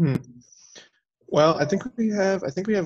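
Someone speaks with an American accent against a quiet background. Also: man. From Arizona. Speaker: student teaching assistant moderating Q&A; Q&A moderator. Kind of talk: Q&A moderation. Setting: video call. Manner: hesitant with fillers. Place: home room. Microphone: headset.

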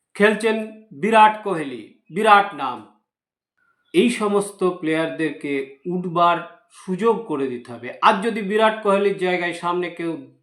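With lively intonation and big swings in loudness, a man talks in a high voice. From West Bengal, India. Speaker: YouTube news commentator. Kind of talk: opinion commentary monologue. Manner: halting, with frequent pauses.

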